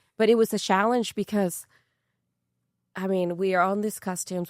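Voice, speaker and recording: A woman speaks at a moderate pace and medium pitch with fairly even intonation on a very clean recording with a silent background. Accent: Mexican. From Mexico. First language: Spanish. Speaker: actress. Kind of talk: interview conversation.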